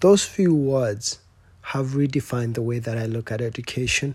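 A man's somewhat breathy, medium-pitched voice at a moderate pace, with ordinary pitch variation. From Kenya, village outside Nairobi. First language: Kenyan native tongue. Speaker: doctoral student. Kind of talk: personal storytelling talk. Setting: stage with audience.

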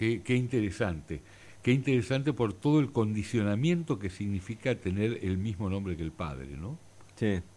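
In a Rioplatense accent, the voice has a dark, mellow tone and very wide pitch swings at a moderate pace. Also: man, fairly low pitch for a man. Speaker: radio host and family business consultant. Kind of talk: radio interview.

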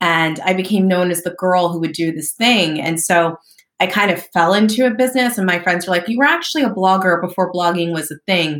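Fairly low in pitch, this woman has a plain, everyday voice, ordinary pitch variation and a fairly quick pace. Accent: American. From US Northeast, southern New Jersey. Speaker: entrepreneur and marketing agency founder. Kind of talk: interview.

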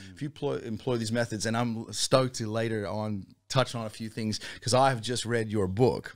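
With an American accent, a man speaks in an unremarkable speaking voice at medium pitch, his intonation fairly even. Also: moderate pace. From Virginia, US (near Washington DC). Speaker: hip-hop musician, band leader. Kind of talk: casual interview chat.

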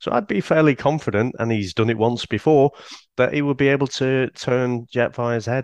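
With a British accent, a man talks at a moderate pace and medium pitch with ordinary pitch variation, in a dry, close sound with no echo. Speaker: podcaster. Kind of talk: casual chat.

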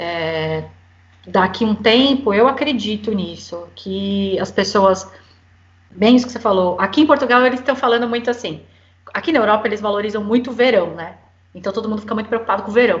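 A woman talks at a fairly quick pace with a normal speaking voice. Her fairly high pitch shows ordinary pitch variation. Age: 40s. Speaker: guest, Brazilian living abroad. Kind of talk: casual chat. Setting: remote recording from home.

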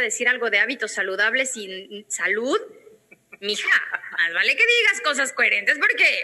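A woman raises and projects her voice at a high pitch. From Mexico, Guadalajara. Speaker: radio and TV presenter. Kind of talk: interview conversation.

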